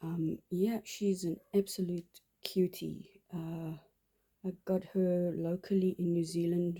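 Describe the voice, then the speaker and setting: In a South African accent, a woman with a fairly low pitch and dark, mellow tone speaks very slowly in a flat monotone. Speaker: doll collector vlogger. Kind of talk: casual show-and-tell vlog. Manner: halting, many fillers.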